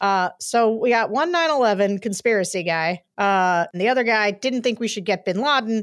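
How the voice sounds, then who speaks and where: The speaker has an unremarkable speaking voice with lively intonation, at a moderate pace with hardly any pauses. The recording is very clean, with a silent background. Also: woman, fairly high pitch for a woman. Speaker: podcast host. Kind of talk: casual chat.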